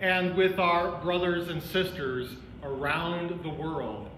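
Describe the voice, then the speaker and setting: A man with a high pitch talks at a very slow pace with ordinary pitch variation, amid light background noise and audible room echo. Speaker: pastor. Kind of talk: worship welcome and announcements. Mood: warm, welcoming. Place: church.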